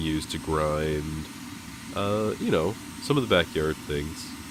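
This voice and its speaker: A man talks with a very deep, low pitch. Noticeable background noise runs underneath. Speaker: hobby blacksmith. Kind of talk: casual voice-over narration. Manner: rambling.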